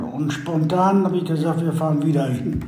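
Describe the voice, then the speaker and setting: Against noticeable background noise and audible room echo, a man with a fairly high pitch speaks at a moderate pace with ordinary pitch variation. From Westphalia, Germany. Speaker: reconciliation volunteer, son of expellee. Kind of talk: interview.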